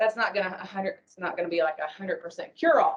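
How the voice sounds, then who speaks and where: A woman's voice at medium pitch, with ordinary pitch variation. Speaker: addiction recovery worker. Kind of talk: conference panel talk. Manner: loud.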